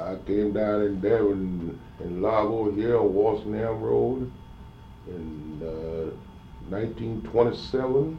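A man speaks at a very slow pace, his pitch fairly low with ordinary variation. Audible room echo surrounds his voice. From US South, Georgia, moved to Florida as a child. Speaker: oral history interviewee. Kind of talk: oral history interview. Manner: halting.

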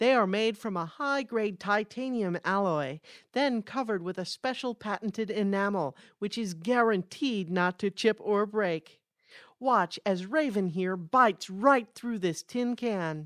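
An ordinary speaking voice from a woman, medium in pitch, fairly slow, with lively intonation, on a very clean recording with a silent background and a dry, close sound with no echo. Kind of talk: infomercial parody, scripted sketch.

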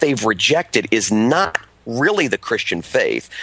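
A man talks in a dry, close recording that has no echo. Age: 40s. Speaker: pastor and author. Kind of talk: interview. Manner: many fillers (uh, um).

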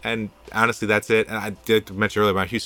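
Fairly low in pitch, a man talks at a fairly quick pace. His tone is bright and sharp, with an American accent. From New Jersey suburbs. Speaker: city councilman. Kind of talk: interview. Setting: studio.

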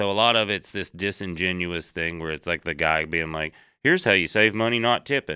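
A man with a Southern US accent speaks fairly quickly in a very deep, low voice with a bright, sharp tone. The recording is very clean, with a silent background and a dry, close sound with no echo. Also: ordinary pitch variation. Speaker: comedian, guest co-host. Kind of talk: casual chat.

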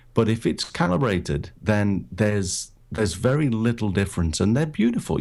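A man with a British accent speaks at a moderate pace in a fairly low voice with lively intonation. The recording is very clean, with a silent background. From Britain. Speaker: photographer and podcaster. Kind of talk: casual interview chat. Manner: hesitant, filler-heavy.

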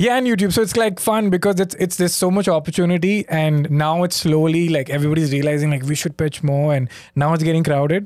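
Very fast and with hardly any pauses, a man with an Indian accent speaks at a fairly high pitch, keeping his loudness very even and his pitch variation ordinary. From India (Mumbai). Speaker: comedian. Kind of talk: casual chat.

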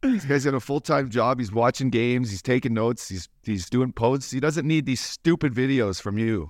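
Speaking in a plain, everyday voice, a man keeps a moderate pace and medium pitch with ordinary pitch variation and hardly any pauses, against a quiet background. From Canada. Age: 40s. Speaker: podcast co-host, former hockey player. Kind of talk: casual chat.

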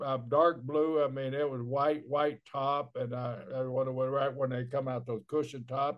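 Talking at a moderate pace with hardly any pauses, a man with an American accent keeps a medium pitch in a monotone, flat intonation. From Oklahoma. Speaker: former pro wrestler, podcast co-host. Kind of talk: casual chat.

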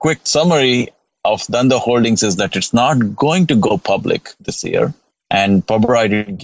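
A plain, everyday voice from a man, lively in intonation, at a moderate pace. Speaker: investor and blogger. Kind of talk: casual chat. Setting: outdoors.

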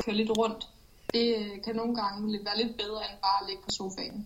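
Fairly high in pitch, a woman speaks at a moderate pace with monotone, flat intonation. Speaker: elite runner. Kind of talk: pre-recorded interview answers. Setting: remote recording from training camp. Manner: concise.

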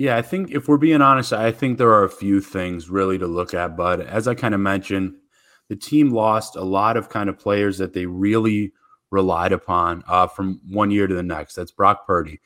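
With a very clean recording and a silent background, a man with an unremarkable speaking voice talks at a moderate pace in a fairly low pitch with ordinary pitch variation. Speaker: college football site reporter. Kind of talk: casual interview chat.

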